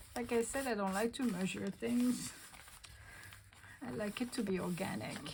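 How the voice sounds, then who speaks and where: A woman's medium-pitched voice in a French accent with very wide pitch swings, a moderate pace and long, frequent pauses, over noticeable background noise. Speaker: craft video creator. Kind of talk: tutorial. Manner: casual, thinking aloud.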